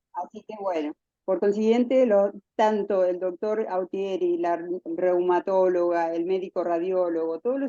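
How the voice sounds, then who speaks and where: Dry and close with no echo, a woman's voice has a dark, mellow tone at medium pitch, with ordinary pitch variation and a fairly slow pace. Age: 60s. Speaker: patient. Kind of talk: testimony. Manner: halting.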